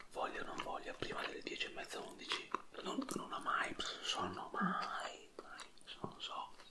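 A man is whispering. His pace is moderate. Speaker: partner of the host, father of the children. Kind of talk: casual chat while eating. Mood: relaxed, chatty. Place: home room. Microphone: studio mic.

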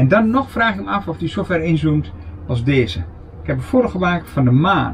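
Light background noise accompanies a man's voice. His pitch swings very widely. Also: medium pitch for a man, moderate pace. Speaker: camper vlogger. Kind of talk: casual show-and-tell vlog; casual vlog chat. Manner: casual, hesitant with fillers. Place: home room. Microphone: camera far.

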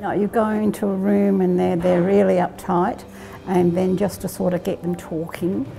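Speaking at a moderate pace with an Australian accent, a woman is heard over faint music in the background. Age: 80s+. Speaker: hospital volunteer. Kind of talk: interview answer. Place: hall.

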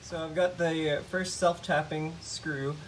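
Clearly audible background noise fills the recording. A man talks over it. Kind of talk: tutorial. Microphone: phone near.

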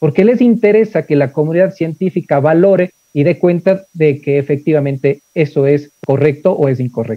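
A man speaks at a moderate pace with hardly any pauses and ordinary pitch variation. The sound is dry with no echo, and the background is quiet. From Ecuador. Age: 40s. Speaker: engineering professor. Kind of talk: lecture. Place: office. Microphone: video call.

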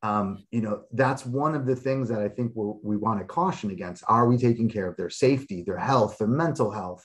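A man with an American accent and an unremarkable speaking voice, medium in pitch, fairly quick, with ordinary pitch variation and hardly any pauses. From Chicago. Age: 40s. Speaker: sociology professor. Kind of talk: webinar panel discussion.

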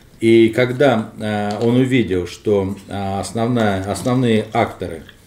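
The speaker is a man with a medium-pitched voice. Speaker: political scientist; guest. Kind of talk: panel discussion. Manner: halting. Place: home room.

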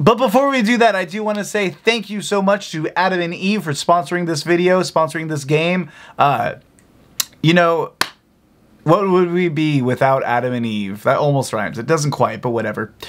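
A man's pitch swings very widely. He talks at a moderate pace. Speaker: game host. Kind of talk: casual video call chat. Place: home room. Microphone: earbuds.

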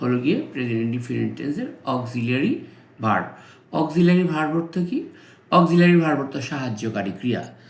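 With audible room echo, a man speaks in a fairly high pitch with lively intonation. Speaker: English tutor. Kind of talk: tutorial.

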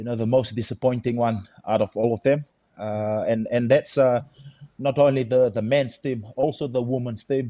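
Against a quiet background, a man of medium pitch speaks with ordinary pitch variation and a dark, mellow tone, the sound dry with no echo. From Fiji. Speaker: rugby head coach. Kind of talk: casual chat. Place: home room. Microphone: video call.

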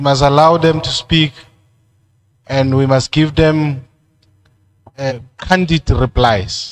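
A fairly high-pitched man speaks at a very slow pace with long, frequent pauses. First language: Sesotho. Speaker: committee chairperson. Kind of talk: chairing a public hearing. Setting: community hall public hearing.

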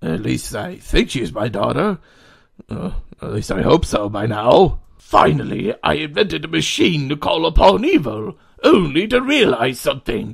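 In a put-on character voice, a man speaks fairly slowly at a fairly high pitch with big pitch swings, vocal fry and a slightly husky edge.

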